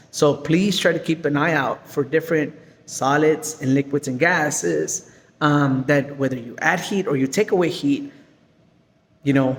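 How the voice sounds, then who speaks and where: Animated in tone, a man speaks at a moderate pace with a fairly high pitch. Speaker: science teacher. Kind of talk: lesson.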